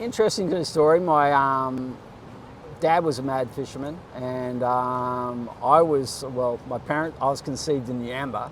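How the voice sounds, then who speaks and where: A man with an Australian accent talks at a fairly slow pace and medium pitch, with ordinary pitch variation. Audible room echo surrounds his voice. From Australia, Queensland (Gold Coast). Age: 50s. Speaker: bodyboarder. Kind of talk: casual interview. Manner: halting, filler-heavy.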